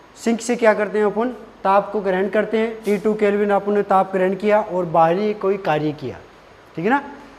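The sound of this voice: A man's high-pitched voice at a fairly quick pace, with fairly even intonation.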